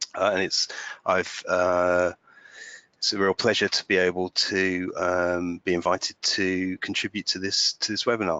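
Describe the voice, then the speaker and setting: A man's very deep, low voice with a British accent, at a moderate pace and in a flat monotone. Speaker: digital workplace consultant. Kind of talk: webinar presentation. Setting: webinar. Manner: halting, many fillers.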